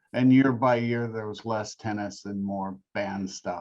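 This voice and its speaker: A man speaks at a fairly slow pace. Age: 60s. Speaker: rock singer. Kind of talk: interview.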